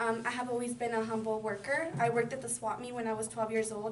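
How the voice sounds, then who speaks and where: Speech at a very fast pace comes with audible room echo and noticeable background noise. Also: woman. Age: 20s. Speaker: community college student. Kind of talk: personal introduction speech. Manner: halting, many fillers.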